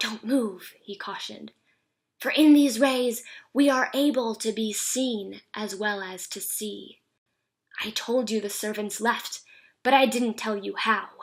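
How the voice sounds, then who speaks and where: On a very clean recording with a silent background, a woman speaks in a normal speaking voice at a fairly high pitch and a fairly slow pace, her intonation fairly even and her loudness swinging widely. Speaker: actress. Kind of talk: horror story reading.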